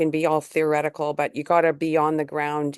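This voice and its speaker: In a Canadian accent, a woman talks at a moderate pace with a very deep, low pitch. The background is quiet. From British Columbia, Canada. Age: 70s. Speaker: community organizer. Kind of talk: panel talk at online event. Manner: halting, many fillers.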